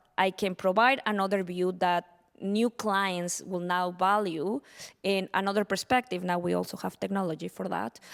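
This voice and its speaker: A woman with a Spanish accent speaks at a medium pitch and a moderate pace. The recording is very clean, with a silent background and a dry, close sound with no echo. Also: fairly even intonation. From Mexico. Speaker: panelist, tech business professional. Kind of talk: panel discussion. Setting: stage with audience.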